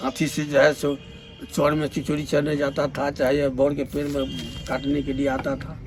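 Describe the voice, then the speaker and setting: A man is speaking. Music plays in the background. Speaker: retired railway worker. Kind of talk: oral history interview answer.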